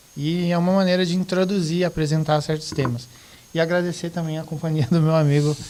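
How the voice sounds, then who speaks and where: A man's moderately paced speech comes with noticeable noise behind it. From Rio Grande do Sul, Brazil. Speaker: teacher. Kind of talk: podcast discussion.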